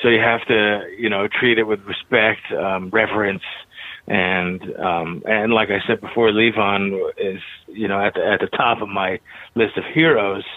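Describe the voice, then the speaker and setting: A man talks at a fairly low pitch and a fairly slow pace. His intonation stays fairly even. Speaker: drummer and singer. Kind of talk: casual interview. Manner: halting, casual.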